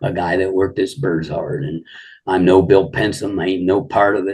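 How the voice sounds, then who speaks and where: A man's very deep, low, somewhat breathy voice with an American accent, at a moderate pace. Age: 70s. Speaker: pigeon fancier. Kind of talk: casual interview.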